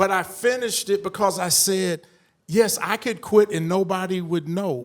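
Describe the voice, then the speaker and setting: At a moderate pace, a man with a high pitch speaks in an American accent with ordinary pitch variation. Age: 60s. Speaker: panelist. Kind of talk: panel discussion. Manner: animated.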